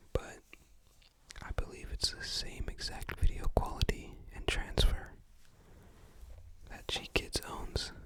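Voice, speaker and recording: Noticeable background noise accompanies a very slow whisper broken by long, frequent pauses. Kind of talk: ASMR whispered show-and-tell of a movie collection. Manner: whispered, soft-spoken.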